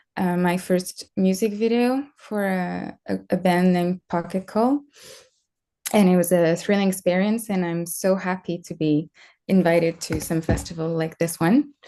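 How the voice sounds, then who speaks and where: A woman's medium-pitched voice in a French accent, dark and mellow in tone, with ordinary pitch variation, a moderate pace and a quiet background. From France. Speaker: screenwriter and music video director. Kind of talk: online interview.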